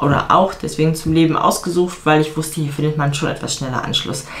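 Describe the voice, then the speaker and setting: At a very fast pace, a woman speaks with a very deep, low pitch. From Germany. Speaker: vlogger and fitness coach; vlogger, fitness coach. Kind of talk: casual vlog talk to camera. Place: home room. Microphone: camera far.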